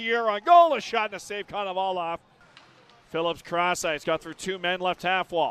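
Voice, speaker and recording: A man's energetic, high-pitched voice, dry with no echo, with music in the background. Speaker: hockey play-by-play announcer. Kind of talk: live play-by-play commentary over game action, spliced into highlight reel. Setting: arena broadcast of a game in Stockton. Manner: rapid-fire, clipped calls that climb in excitement on goals; energetic, urgent delivery. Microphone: headset.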